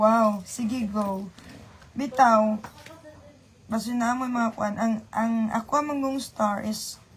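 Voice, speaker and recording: Somewhat breathy and fairly high-pitched, a woman speaks at a very slow pace. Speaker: livestreamer. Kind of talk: casual livestream chat. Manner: chatty, greeting viewers by name.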